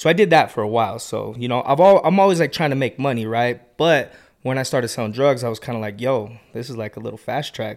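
A man with a normal speaking voice and an American accent, medium in pitch, at a fairly quick pace with ordinary pitch variation, on a very clean recording with a silent background. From Utah, Salt Lake valley. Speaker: barber and business owner. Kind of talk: casual interview.

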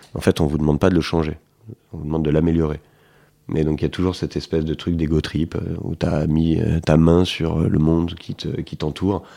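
This man has a very deep, low pitch and a dark, mellow tone, speaking in a flat monotone at a fairly quick pace. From Paris, France. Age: 30s. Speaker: entrepreneur. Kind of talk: interview. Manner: hesitant, many fillers and repetitions.

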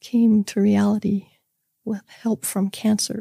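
A woman speaks at a medium pitch with a dark, mellow tone and a somewhat breathy quality. The sound is dry and close, with no echo. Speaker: guest sharing life story. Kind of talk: personal testimony. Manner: mild.

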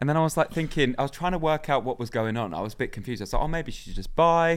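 A medium-pitched man with a North London accent on a very clean recording with a silent background. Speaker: guest. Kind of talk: casual chat.

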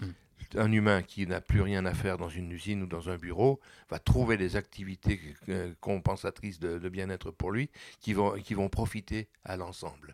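In a very clean recording with a silent background, a man speaks with a very deep, low pitch and fairly even intonation, the sound dry and close with no echo. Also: moderate pace. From Réunion. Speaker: political activist. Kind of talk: interview. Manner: halting.

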